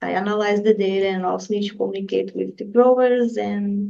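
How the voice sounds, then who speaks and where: A woman with a Brazilian accent speaks at a moderate pace. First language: Portuguese. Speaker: graduate student researcher. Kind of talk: interview.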